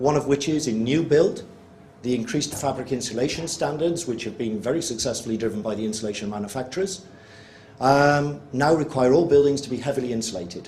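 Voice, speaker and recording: Amid noticeable background noise and audible room echo, a man with a British accent talks fairly quickly at medium pitch with lively intonation. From UK. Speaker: energy researcher presenting at workshop. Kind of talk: presentation to workshop audience. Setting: workshop room with live audience. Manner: fast.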